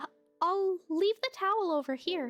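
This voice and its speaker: A woman's put-on character voice, squeaky and extremely high-pitched, with lively intonation at a moderate pace over faint background music. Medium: virtual streamer. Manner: formal, soft-spoken.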